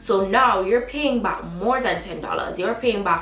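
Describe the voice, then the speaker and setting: A woman's animated voice with a Jamaican accent and ordinary pitch variation, plus audible room echo and noticeable background noise. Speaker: student vlogger. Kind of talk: vlog advice talk.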